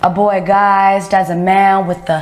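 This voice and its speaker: The speaking pace is very slow. Noticeable background noise runs underneath. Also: woman. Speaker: poet. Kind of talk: spoken word poetry performance.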